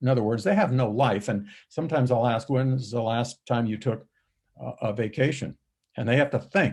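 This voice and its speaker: A man with a somewhat breathy, medium-pitched voice speaks at a moderate pace with ordinary pitch variation. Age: 70s. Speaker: dental practice coach. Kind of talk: interview.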